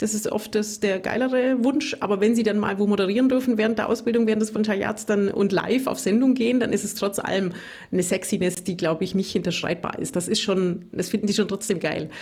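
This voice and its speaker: A woman with a Bavarian Swabian accent speaks at a very fast pace and a medium pitch, with ordinary pitch variation and hardly any pauses. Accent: Bavarian Swabian, rolled R. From Bavarian Swabia (Augsburg area). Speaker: radio reporter and trainer. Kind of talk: casual interview chat. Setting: remote call.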